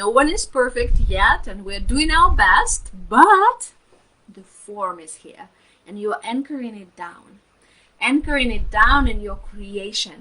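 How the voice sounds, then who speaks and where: With a non-native accent, a woman speaks very slowly at a high pitch, her voice showing very wide pitch swings and big swings in loudness. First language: not English. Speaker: spiritual healer and mentor. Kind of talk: live stream talk. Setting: live stream. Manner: hesitant, many fillers.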